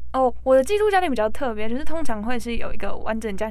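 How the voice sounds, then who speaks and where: A woman talks very fast while noticeable background noise fills the recording. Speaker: recent high school graduate, former exchange student. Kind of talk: interview.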